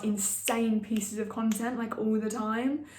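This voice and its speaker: There is noticeable background noise and audible room echo as a woman speaks at a moderate pace. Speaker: online marketing educator. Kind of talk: casual tutorial to camera. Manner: unscripted, with many fillers.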